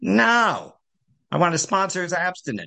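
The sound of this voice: A man uses a put-on character voice, pitched high with lively intonation. He keeps a moderate pace against a quiet background.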